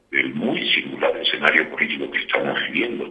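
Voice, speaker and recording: Through noticeable background noise, a man is heard speaking. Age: 60s. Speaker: politician. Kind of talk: interview. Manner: hesitant with fillers.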